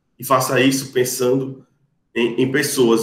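A man talks at a fairly slow pace with monotone, flat intonation. Audible room echo surrounds his voice. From Brazil, Rio Grande do Norte. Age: 30s. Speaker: lawyer. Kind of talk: podcast interview. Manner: formal.

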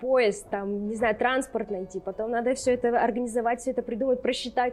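A woman speaks in a fairly high pitch with fairly even intonation. Noticeable background noise is present. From Russia, Urals (Sverdlovsk region military town). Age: 20s. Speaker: social media content manager. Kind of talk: interview conversation. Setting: pub.

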